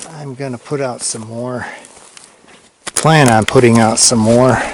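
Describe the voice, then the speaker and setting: The speaker talks at a fairly slow pace, with noticeable background noise behind them. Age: 60s. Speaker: hiker vlogger. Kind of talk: outdoor vlog narration. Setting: outdoors on a mountain hike. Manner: casual, halting with fillers.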